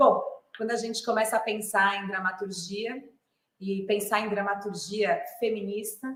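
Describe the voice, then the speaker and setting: She is a woman with a fairly high pitch. Her intonation is fairly even and her pace fairly slow. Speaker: clown and theatre artist. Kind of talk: lecture.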